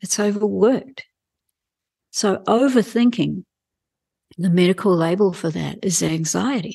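A woman with a New Zealand accent speaks in a dark, mellow tone at medium pitch with ordinary pitch variation. She goes at a fairly slow pace with long, frequent pauses. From New Zealand, rural farming family. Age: 60s. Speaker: wellbeing coach and Chinese medicine practitioner. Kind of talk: interview conversation. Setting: in her clinic.

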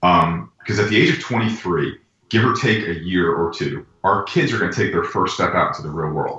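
A man's fairly low voice with very wide pitch swings, at a moderate pace. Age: 40s. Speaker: pitching coach. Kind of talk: casual interview.

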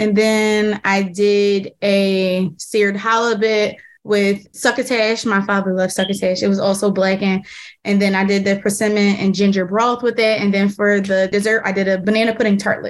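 A woman speaks with an American accent in a monotone, flat intonation. The recording is very clean, with a silent background. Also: medium pitch for a woman, moderate pace. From Philadelphia. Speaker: chef. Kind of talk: casual interview.

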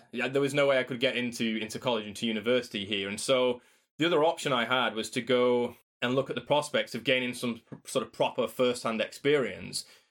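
A man speaks with a Yorkshire accent at medium pitch. His intonation stays fairly even, and his pace is fairly quick. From South Yorkshire, England (Doncaster). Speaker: paleontologist and author. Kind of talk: interview. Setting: remote call.

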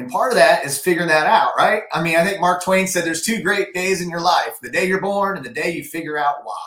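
Over noticeable background noise, a man talks at a very fast pace with hardly any pauses, his high voice showing ordinary pitch variation. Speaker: guest, personal development enthusiast. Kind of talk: pep talk. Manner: upbeat, emphatic, motivational.

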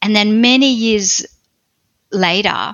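With an Australian accent, a woman speaks at medium pitch with fairly even intonation. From Australia, country Victoria. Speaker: pastor and author. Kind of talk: personal testimony interview.

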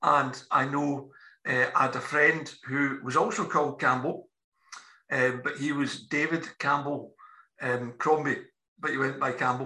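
Fairly high in pitch, a man with a Scottish accent speaks at a fairly slow pace in a monotone, flat intonation. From Scotland. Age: 60s. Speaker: podcast editor and interviewer. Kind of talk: casual political chat.

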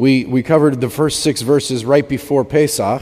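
The speaker is a man. His tone is dark and mellow. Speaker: preacher. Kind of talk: sermon.

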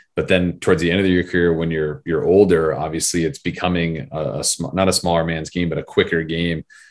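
A man with an American accent talks at a fairly quick pace in a very deep, low pitch, with hardly any pauses. His intonation is fairly even, and the recording is very clean with a silent background. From Arizona. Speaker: podcast co-host. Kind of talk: casual chat.

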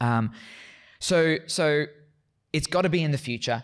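On a very clean recording with total background silence, a man talks with an Australian accent. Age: 30s. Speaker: Bible lecturer. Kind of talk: interview on theology. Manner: repetitive, halting at times.

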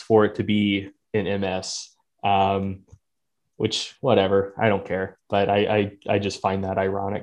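Against a quiet background, a man with an unremarkable speaking voice and a fairly low pitch talks at a fairly slow pace. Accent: American. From North Carolina. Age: 20s. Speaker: strength coach and exercise scientist. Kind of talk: casual interview.

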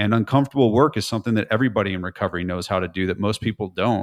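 On a very clean recording against a silent background, a man in an American accent talks very fast. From California. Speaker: author and business speaker. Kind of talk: interview.

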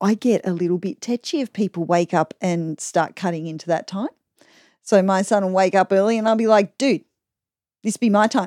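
A woman's dark, mellow voice in an Australian accent, medium in pitch with ordinary variation, at a moderate pace, dry and close with no echo on a very clean recording over a silent background. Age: 40s. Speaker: podcaster. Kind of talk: casual chat. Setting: home room padded with fabrics.

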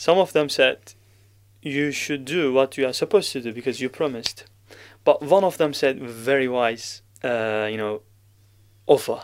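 Spoken with a Turkish accent at a moderate pace, the voice has ordinary pitch variation and long, frequent pauses, on a very clean recording with a silent background. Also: man, medium pitch for a man. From Turkey. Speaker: Quran reciter. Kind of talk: podcast interview. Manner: halting.

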